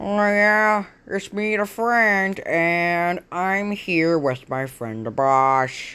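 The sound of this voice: A put-on character voice at a middle pitch speaks at a very slow pace in a very clean recording with a silent background.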